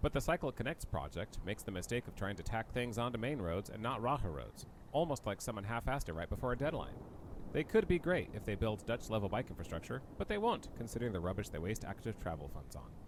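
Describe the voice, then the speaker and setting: A man with an American accent talks at a very fast pace in a medium pitch that swings very widely. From United States. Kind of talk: video essay narration.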